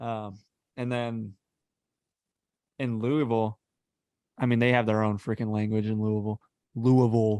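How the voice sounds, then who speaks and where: A man with a slight Texas accent speaks at a moderate pace in a dark, mellow tone and medium pitch, monotone and flat. He leaves long, frequent pauses, and the sound is dry and close with no echo. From Texas, Calallen. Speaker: podcast host, engineering graduate. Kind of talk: casual chat. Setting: video call.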